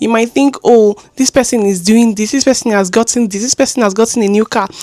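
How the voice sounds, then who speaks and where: A woman talks at a fairly quick pace with ordinary pitch variation over noticeable background noise. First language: not English. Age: 20s. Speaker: vlogger. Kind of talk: casual chat.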